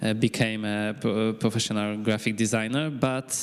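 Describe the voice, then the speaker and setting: A man with a Polish accent speaks at a fairly low pitch against noticeable background noise. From Poland, Krakow. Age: 20s. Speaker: high school teacher. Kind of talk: self-introduction at a conference panel. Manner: halting, many fillers.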